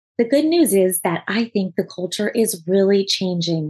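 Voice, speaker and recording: Female speech, somewhat breathy, dark and mellow in tone. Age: 30s. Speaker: podcast host and attorney. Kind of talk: solo podcast monologue.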